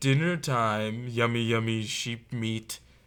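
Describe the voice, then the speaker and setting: Using a put-on character voice, a man bellows loudly at medium pitch and a fairly slow pace. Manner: bellowing, loud.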